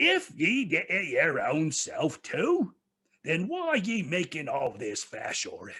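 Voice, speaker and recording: Putting on a character voice, a man speaks fairly slowly in a high, shrill tone. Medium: read story. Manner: harsh, demanding.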